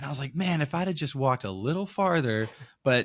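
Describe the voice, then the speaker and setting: On a very clean recording with a silent background and a dry, close sound with no echo, a man speaks with an American accent. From Maine, northeastern US. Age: 20s. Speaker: youth pastor. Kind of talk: podcast interview. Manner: casual, many fillers.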